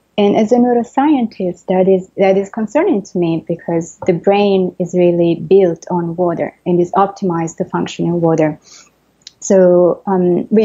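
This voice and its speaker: A woman speaks at a moderate pace. Her voice sits at a medium pitch and has a dark, mellow tone. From Italy. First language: Italian. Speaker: neuroscientist and author. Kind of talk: interview. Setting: video call.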